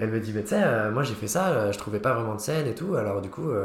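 The man's voice is somewhat breathy and fairly low, with lively intonation and audible room echo. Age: 20s. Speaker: student and comedy club founder. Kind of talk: casual interview chat.

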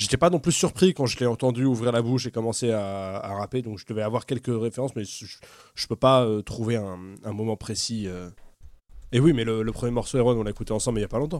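A man with a normal speaking voice talks at a fairly quick pace, his medium pitch showing ordinary pitch variation. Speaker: podcast panelist. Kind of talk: casual chat.

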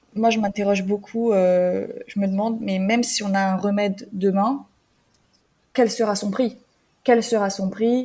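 A woman's medium-pitched, somewhat breathy voice with a dark, mellow tone, fairly even intonation and a fairly slow pace. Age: 20s. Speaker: health media editor. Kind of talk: casual conversation.

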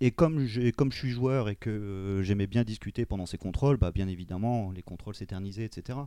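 The voice has a dark, mellow tone and moves at a moderate pace with hardly any pauses and ordinary pitch variation. The recording is very clean, with a silent background. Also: man, fairly low pitch for a man. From France, Amiens. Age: 30s. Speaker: podcast guest. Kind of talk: casual discussion.

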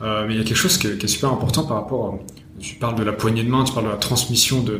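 The man's voice falls at a medium pitch. Noticeable background noise can be heard. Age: 20s. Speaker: podcast host. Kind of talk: interview.

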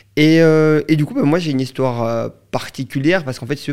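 A man speaks with ordinary pitch variation in a very clean recording with a silent background. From Belgium. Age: 20s. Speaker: entrepreneur. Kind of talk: interview, casual chat. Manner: animated, energetic.

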